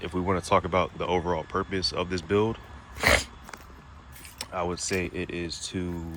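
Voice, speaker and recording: Talking at a moderate pace with long, frequent pauses, a man with a very deep, low voice keeps a monotone, flat intonation over noticeable background noise. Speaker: car builder, home mechanic. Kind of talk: casual walkthrough of a car build.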